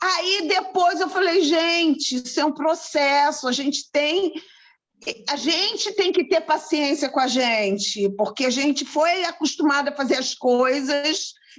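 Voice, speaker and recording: A woman's high-pitched voice at a fairly slow pace, with very even loudness. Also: lively intonation. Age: 60s. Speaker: aromatherapist and event host. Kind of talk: casual group conversation. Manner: hesitant, with many fillers.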